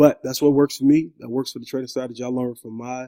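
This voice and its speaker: Dark and mellow in tone, a man rushes along at a very fast pace, the sound dry and close with no echo. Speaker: forex trading tutorial youtuber. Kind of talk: tutorial. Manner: animated.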